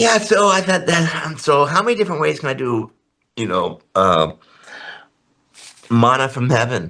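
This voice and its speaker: A man's fairly high, bright, sharp voice with vocal fry, very wide pitch swings and long, frequent pauses. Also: moderate pace. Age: 80s+. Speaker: artist and painting teacher. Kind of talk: interview. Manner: animated.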